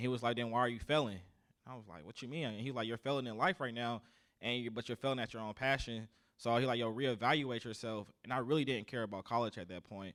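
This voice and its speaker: The recording is very clean with a silent background. A man with a Southern US accent talks at a very fast pace. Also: medium pitch for a man, ordinary pitch variation. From US South, South Carolina. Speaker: army sergeant. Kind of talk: casual interview. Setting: live podcast with audience.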